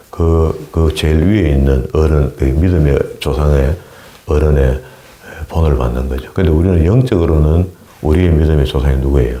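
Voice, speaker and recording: Over noticeable background noise, a man with a very deep, low pitch talks fairly slowly with ordinary pitch variation. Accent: strong Gyeongsang. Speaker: pastor. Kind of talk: sermon. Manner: halting.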